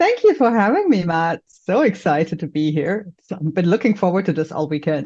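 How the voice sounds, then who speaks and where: A woman with a slight German accent speaks fairly quickly with hardly any pauses and lively intonation. Her tone is dark and mellow, and somewhat breathy. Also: medium pitch for a woman. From Germany, Mainz near Frankfurt. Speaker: business support entrepreneur. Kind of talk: podcast interview.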